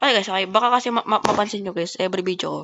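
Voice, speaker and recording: This woman has a normal speaking voice. Her pitch is medium, with ordinary pitch variation. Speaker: gaming YouTuber. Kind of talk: gameplay commentary.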